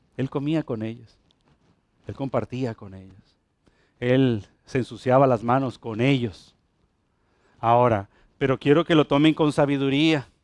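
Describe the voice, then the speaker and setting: In an animated tone and a Puerto Rican accent, a man speaks at a fairly slow pace and medium pitch with ordinary pitch variation, the sound dry and close with no echo against a quiet background. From Puerto Rico. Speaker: pastor. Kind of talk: sermon, preaching to a congregation with a friendly, teaching tone. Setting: church with congregation. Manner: animated, conversational, direct address to the congregation with humor and repetition.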